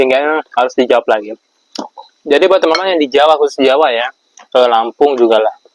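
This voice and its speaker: A man's fairly high voice at a very fast pace, with ordinary pitch variation, long and frequent pauses, and a dry, close sound with no echo. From Java, Indonesia. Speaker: vlogger, transmigrant farmer. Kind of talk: casual Q&A vlog. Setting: at home at iftar meal.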